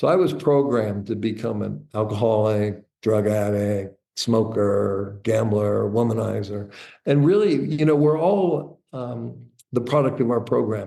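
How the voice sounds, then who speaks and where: With audible room echo, a man speaks fairly slowly in a fairly low, dark, mellow voice with ordinary pitch variation. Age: 60s. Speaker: entrepreneur and author. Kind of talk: interview, personal life story. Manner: casual, with fillers and false starts.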